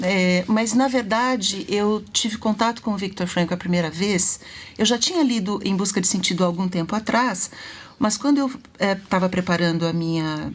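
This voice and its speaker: A woman with a medium pitch speaks at a moderate pace, sounding somewhat breathy. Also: ordinary pitch variation, very even loudness. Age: 60s. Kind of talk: live talk show interview.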